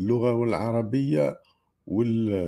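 Against a quiet background, a man with an Algerian accent speaks very slowly in a dark, mellow tone at a medium pitch. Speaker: livestream host. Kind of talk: live stream commentary. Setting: live stream. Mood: argumentative, polemical. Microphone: earbuds.

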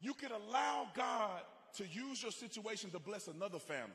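Over crowd noise, a man speaks at a moderate pace in a raised, projected voice, his tone animated and his intonation lively. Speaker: speaker at a conservative rally. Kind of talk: rally speech with faith-based, preacher-like appeal to a live crowd. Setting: stage with live audience. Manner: animated, fervent, exhorting the crowd, repetitive for emphasis; conversational, personal, with humor and crowd banter.

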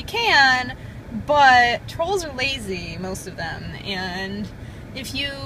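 A woman uses a raised, projected voice, with light background noise and a dry sound that has no echo. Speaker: vlogger. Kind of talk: casual vlog chat. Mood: agitated, laughing, exasperated. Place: car. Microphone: phone near.

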